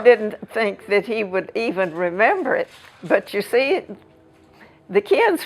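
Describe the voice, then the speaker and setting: A woman with an American accent talks at a fairly slow pace. Noticeable background noise runs underneath. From Southern US. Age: 80s+. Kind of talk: interview answer.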